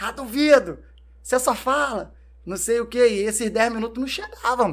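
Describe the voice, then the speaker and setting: Pitched high for a man, this man's voice keeps a fairly even intonation. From Brazil, São Gonçalo (Rio de Janeiro state). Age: 30s. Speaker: entrepreneur, clothing brand owner, former footballer. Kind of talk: casual interview chat.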